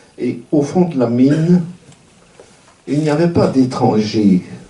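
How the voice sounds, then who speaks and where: A man speaks at a very slow pace with lively intonation. Noticeable background noise sits behind him. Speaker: retired university professor and activist. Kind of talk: commemorative speech.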